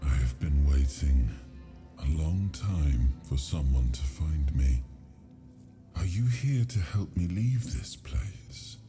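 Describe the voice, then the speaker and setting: A man's resonant, put-on character voice at a fairly slow pace, with music in the background. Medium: video game. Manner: solemn, grave storytelling; suddenly loud at dramatic moments.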